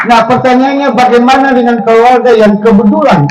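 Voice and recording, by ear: A man at a moderate pace with a slightly mellow tone, in a room with audible echo.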